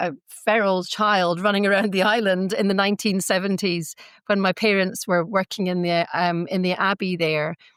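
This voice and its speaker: With a Scottish accent, the speaker talks at a moderate pace with hardly any pauses and a monotone, flat intonation. The recording is very clean and the background silent. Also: woman, medium pitch for a woman, very even loudness. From Scotland, Glasgow and Iona. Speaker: faith-based mediator, community member. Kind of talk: podcast interview. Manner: hesitant, many fillers.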